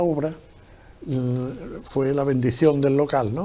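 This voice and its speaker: Here a man speaks in a dark, mellow tone with a fairly high pitch. His pace is moderate. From San Fernando, Cádiz, Andalusia. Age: 70s. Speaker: former local shopkeeper. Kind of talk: casual chat.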